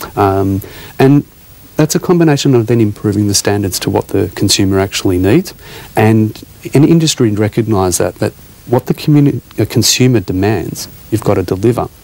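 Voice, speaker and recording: The sound is dry with no echo, and the speaker has an Australian accent. Delivery is at a moderate pace with lively intonation. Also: man, fairly low pitch for a man. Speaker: hospitality academy CEO. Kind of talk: TV interview. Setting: TV studio. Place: studio. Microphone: lapel.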